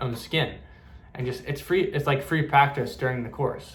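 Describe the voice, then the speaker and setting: The man's fairly high voice comes with audible room echo and noticeable background noise. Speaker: spiritual medium. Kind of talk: casual spiritual talk to camera. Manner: fast; halting, with many fillers and repeats.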